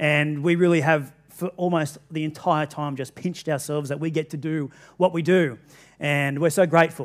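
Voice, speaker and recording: A man talks at a moderate pace in a flat monotone. The background is quiet. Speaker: pastor. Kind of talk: sermon. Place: church.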